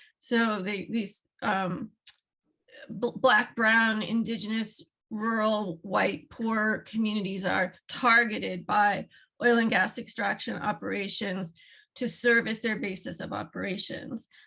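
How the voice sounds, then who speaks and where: A woman's fairly high, bright and sharp voice with vocal fry, fairly even intonation and a fairly slow pace. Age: 60s. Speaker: ecologist and environmental health scientist. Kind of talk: panel talk. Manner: halting, many fillers and restarts.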